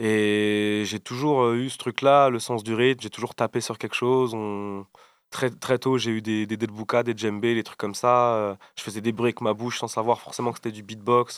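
A man speaks at a moderate pace with a medium pitch and a flat, monotone delivery. The recording is very clean, with a silent background. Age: 20s. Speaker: rapper and beatboxer. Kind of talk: casual interview.

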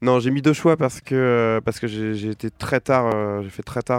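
The recording is very clean, with a silent background and a dry, close sound without echo. A man speaks at medium pitch with fairly even intonation. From western France, near Nantes. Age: 30s. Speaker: musician. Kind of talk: radio interview. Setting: radio studio, live. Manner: halting, many fillers and repetitions.

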